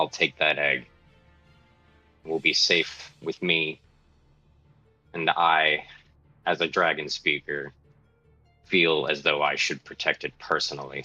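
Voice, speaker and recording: A man uses a put-on character voice that is gruff and very deep, speaking at a fairly slow pace with long, frequent pauses. Faint music plays in the background. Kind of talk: terse. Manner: gruff, terse.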